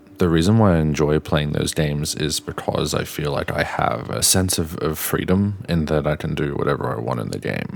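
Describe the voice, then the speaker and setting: Talking at a fairly quick pace with hardly any pauses, a man with a very deep, low pitch and an Australian accent is heard over noticeable background noise. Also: ordinary pitch variation. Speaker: gaming youtuber. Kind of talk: opinion rant. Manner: halting, repeats words.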